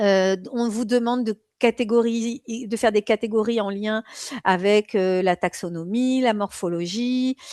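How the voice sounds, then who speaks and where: Over a quiet background, the voice moves at a very slow pace with fairly even intonation and a dry, close sound with no echo. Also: woman, fairly high pitch for a woman. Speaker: exam prep teacher. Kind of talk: live online lecture. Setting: live stream. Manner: hesitant, many fillers.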